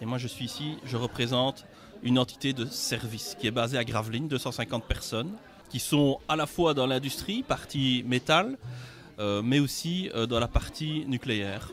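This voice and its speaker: Music plays in the background. The speaker has a Belgian accent, a moderate pace and ordinary pitch variation. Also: man, medium pitch for a man. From Belgium. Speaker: company regional director, engineer. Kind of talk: interview at sponsorship signing event.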